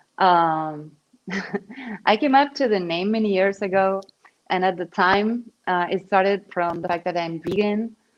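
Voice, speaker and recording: A woman with a Spanish accent talks at a fairly slow pace and medium pitch, with ordinary pitch variation. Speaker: digital artist. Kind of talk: interview. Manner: halting.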